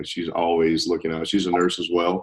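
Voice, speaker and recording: A man talks with a very deep, low pitch. He has a Southern US accent. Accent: Southern drawl. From US South. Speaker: nurse. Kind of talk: interview.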